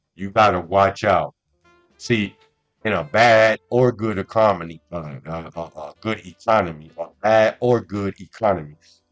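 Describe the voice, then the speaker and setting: Over background music, a man speaks fairly slowly with ordinary pitch variation and big swings in loudness, the sound dry and close with no echo. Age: 60s. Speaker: podcast host. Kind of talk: monologue podcast. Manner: frequent stammering repetitions; animated.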